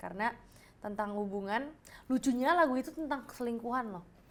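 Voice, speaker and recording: A woman talks at a very fast pace. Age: young. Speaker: singer. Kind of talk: casual chat. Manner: halting, searches for words.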